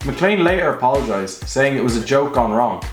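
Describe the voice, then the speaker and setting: A man with an Irish accent talks at a very fast pace in a fairly high pitch that swings very widely, with noticeable background noise and audible room echo. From Ireland. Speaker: YouTube commentator. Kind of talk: scripted narration.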